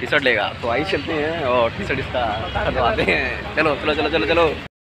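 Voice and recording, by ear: Amid clear background noise, a man with a fairly high pitch and ordinary pitch variation talks at a fairly quick pace.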